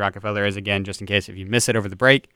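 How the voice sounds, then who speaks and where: This very clean recording with a silent background captures a man with a bright, sharp tone. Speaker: college radio host. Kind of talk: college radio show patter. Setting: radio studio. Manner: upbeat; fast-paced.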